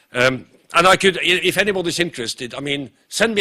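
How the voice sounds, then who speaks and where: This man talks at a fairly quick pace, his tone bright and sharp and his intonation lively. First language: Norwegian. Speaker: professor. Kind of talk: conference lecture. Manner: fast.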